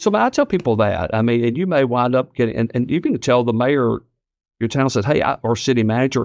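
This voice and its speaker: At a fairly quick pace, the speaker talks with a Southern US accent and very even loudness. The sound is dry and close, with no echo. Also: man, medium pitch for a man, ordinary pitch variation, quiet background. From Tennessee (Ripley, West Tennessee). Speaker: state official, politician. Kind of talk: casual chat.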